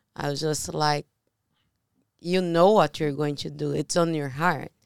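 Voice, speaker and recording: With a Portuguese accent, a woman talks at a moderate pace in a very deep, low pitch, the sound dry and close with no echo. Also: very clean recording, silent background. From Brazil. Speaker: podcast co-host, real estate investor. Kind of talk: casual chat.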